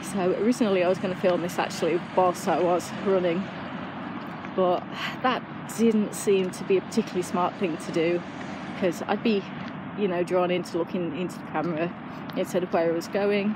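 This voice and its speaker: A woman at a fairly quick pace, dry sound with no echo, noticeable background noise. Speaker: runner vlogger. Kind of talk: casual vlog chat. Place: street. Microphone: earbuds.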